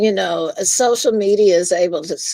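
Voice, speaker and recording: A woman speaks at a moderate pace with a Memphis accent and a medium pitch. The sound is dry and close, with no echo. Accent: Memphis twang. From Memphis, Tennessee. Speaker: guest streamer. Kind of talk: casual chat. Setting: live stream.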